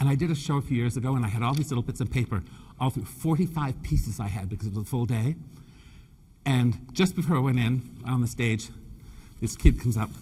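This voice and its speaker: At a fairly quick pace, a man of medium pitch speaks with lively intonation and a somewhat breathy sound. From Canada (Nova Scotia), British family. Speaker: floral designer and presenter. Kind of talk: live design demonstration with humor. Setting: stage with audience. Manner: animated, joking.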